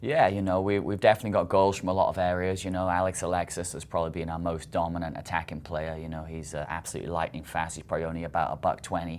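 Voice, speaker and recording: A man with a British accent speaks very fast with hardly any pauses, his very deep, low voice keeping fairly even intonation on a very clean recording with a silent background. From Britain. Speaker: college soccer coach. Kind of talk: interview.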